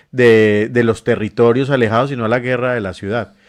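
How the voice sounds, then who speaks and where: A man speaks at a moderate pace and medium pitch in a plain, everyday voice. The background is quiet. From Colombia, Medellín. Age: 40s. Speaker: NGO director and health worker. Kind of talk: interview.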